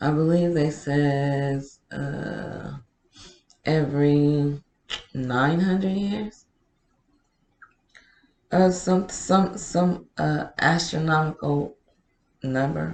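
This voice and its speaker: Speech moves at a very slow pace, broken by long, frequent pauses. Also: woman, very deep, low pitch for a woman, ordinary pitch variation. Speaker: podcast host and poet. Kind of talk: podcast monologue, casual talk to audience. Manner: soothing, reflective, hesitant with filler words.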